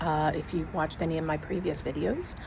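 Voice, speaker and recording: A woman whispering, with audible room echo and noticeable background noise. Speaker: vlogger. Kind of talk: casual vlog. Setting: outdoors on patio.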